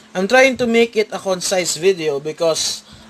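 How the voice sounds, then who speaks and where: Lively intonation and a high pitch mark this man's speech against noticeable background noise. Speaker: card game YouTuber. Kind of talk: deck profile tutorial. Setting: at home, filming a playmat on a tripod. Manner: halting, with fillers and repeats.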